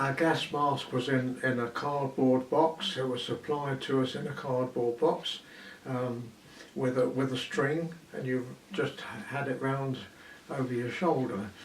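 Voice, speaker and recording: A man with a southern English accent, medium pitch, fairly even intonation, and a fairly slow pace, over noticeable background noise. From southeast England, Kent. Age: 80s+. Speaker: war evacuee recalling wartime. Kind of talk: oral history interview. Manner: halting, with many fillers.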